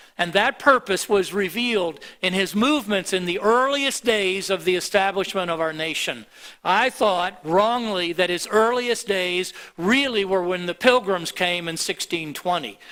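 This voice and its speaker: A man speaks at a moderate pace in a raised, projected voice, his pitch high and his tone bright and sharp, with ordinary pitch variation. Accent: American. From US (Miami, Florida). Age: 70s. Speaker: pastor. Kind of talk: sermon. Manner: halting.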